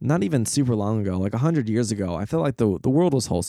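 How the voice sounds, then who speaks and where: Talking at a very fast pace with lively intonation, the dark, mellow voice comes through in a very clean recording with a silent background. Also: man. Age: 20s. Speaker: podcast host. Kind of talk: personal monologue. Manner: hesitant, filler-heavy.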